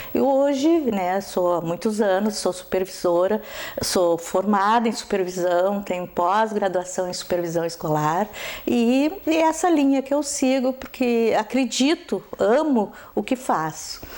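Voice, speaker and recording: Speaking at a medium pitch, a woman swings her pitch very widely while keeping her loudness very even, over noticeable background noise. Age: 70s. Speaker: school educator and supervisor. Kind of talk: interview.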